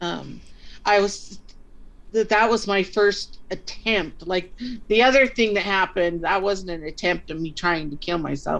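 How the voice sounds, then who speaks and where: Speaking at a fairly slow pace, a woman has an unremarkable speaking voice at a medium pitch. Her pitch variation is ordinary. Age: 60s. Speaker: life coach. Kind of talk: interview answer.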